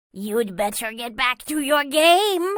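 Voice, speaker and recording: In a put-on character voice, a female-sounding speaker talks at a fairly slow pace with a high pitch. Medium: read story.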